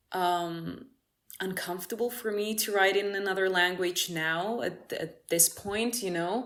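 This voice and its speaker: With a Greek accent, a woman speaks fairly slowly at a medium pitch with fairly even intonation. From Cyprus. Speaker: musician. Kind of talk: casual interview. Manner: halting.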